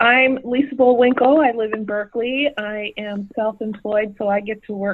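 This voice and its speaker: In a plain, everyday voice, a woman speaks at a moderate pace with fairly even intonation. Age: 60s. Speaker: event producer. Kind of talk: casual chat.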